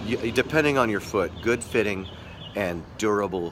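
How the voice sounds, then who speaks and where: Noticeable background noise runs through the clip. A man is talking over it. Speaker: skateboarding livestream host. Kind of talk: casual live stream chat. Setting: live stream. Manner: halting, many fillers and restarts.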